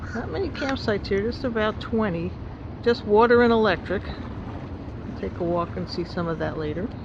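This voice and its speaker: A New Jersey accent at a moderate pace, with noticeable background noise. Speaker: travel vlogger. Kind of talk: casual travel narration.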